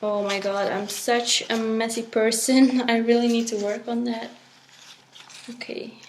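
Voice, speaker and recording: Amid audible room echo and noticeable background noise, a woman with a fairly high pitch speaks at a fairly slow pace in a monotone, flat intonation. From Belgium. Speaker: resin art creator. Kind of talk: tutorial. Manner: hesitant with fillers.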